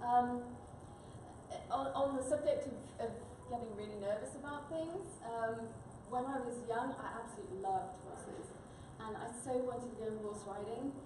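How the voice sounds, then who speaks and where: A woman with a British accent speaks at a high pitch and a moderate pace, with ordinary pitch variation, big swings in loudness, and long, frequent pauses, amid audible room echo and noticeable background noise. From UK. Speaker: business presenter. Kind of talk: conference talk. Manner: hesitant, many filler words.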